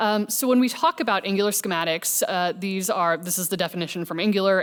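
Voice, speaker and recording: With a Midwestern accent, a woman talks at a fairly quick pace using lively intonation. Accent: American Midwest. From US Midwest, Kansas City. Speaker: software engineer, conference speaker. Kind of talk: conference talk. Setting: stage with audience. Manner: casual, with fillers.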